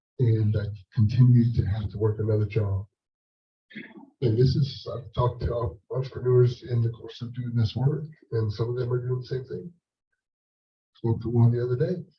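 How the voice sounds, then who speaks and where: Somewhat breathy, a man at a medium pitch talks at a moderate pace with fairly even intonation. He leaves long, frequent pauses. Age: 60s. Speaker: leadership coach and former pastor, panelist. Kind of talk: panel discussion answer. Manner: halting, many repeated words.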